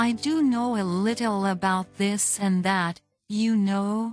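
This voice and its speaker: A put-on character voice at a fairly slow pace with ordinary pitch variation, over faint music in the background. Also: woman, medium pitch for a woman. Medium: read story. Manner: friendly.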